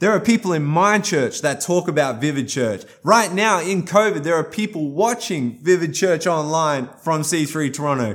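In an animated tone, a man with an Australian accent and fairly high pitch talks at a moderate pace. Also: lively intonation, hardly any pauses. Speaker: guest pastor. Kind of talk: sermon. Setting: recorded for online church stream.

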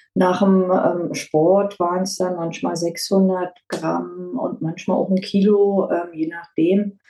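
A woman's dark, mellow voice at a very slow pace, with fairly even intonation and hardly any pauses. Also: medium pitch for a woman. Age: 50s. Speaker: dental prophylaxis assistant, weight-loss client. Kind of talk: interview testimony. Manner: hesitant, many fillers.

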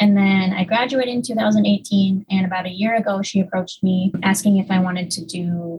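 A woman talks in an ordinary speaking voice at a medium pitch. Her pace is moderate and her intonation fairly even. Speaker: research technician. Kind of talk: interview.

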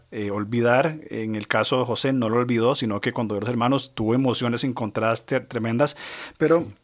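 An unremarkable speaking voice from a man at medium pitch and a moderate pace, on a very clean recording with a silent background. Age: 40s. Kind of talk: religious discussion on family and Bible.

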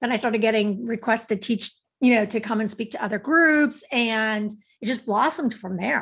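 Against a quiet background, a woman with a plain, everyday voice speaks at a moderate pace, her fairly high pitch showing ordinary pitch variation. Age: 50s. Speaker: author and speaker. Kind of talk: casual interview chat.

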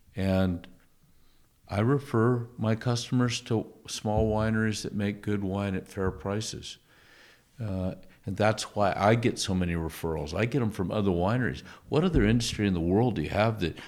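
Using a normal speaking voice, a man talks at a moderate pace in a fairly low pitch with ordinary pitch variation. The recording is very clean, with a silent background. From part Canadian. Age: 60s. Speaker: winemaker. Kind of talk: casual chat. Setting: tasting room.

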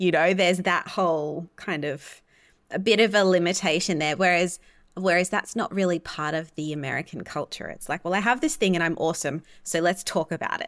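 A woman with an Australian accent speaks at a fairly quick pace with fairly even intonation. The recording is very clean, with a silent background. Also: fairly low pitch for a woman. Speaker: podcast host and astrologer. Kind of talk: interview conversation.

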